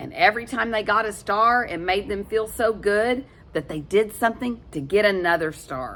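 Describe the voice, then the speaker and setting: A woman with an ordinary speaking voice talks at a moderate pace and medium pitch. Her intonation is lively, and her loudness swings widely. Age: 60s. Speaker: storyteller for children. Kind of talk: reading aloud; casual chat. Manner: warm, gentle storytelling to kids.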